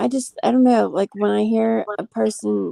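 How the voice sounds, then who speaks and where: A woman at a moderate pace, with an American accent. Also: dry, close sound with no echo. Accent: slight country twang (others say so). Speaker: livestreamer. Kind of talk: casual chat. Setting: live stream.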